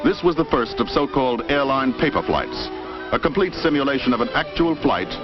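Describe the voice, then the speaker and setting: A man talks at a moderate pace with a fairly high pitch. Behind him, music plays. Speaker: film narrator. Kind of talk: vintage promotional film narration.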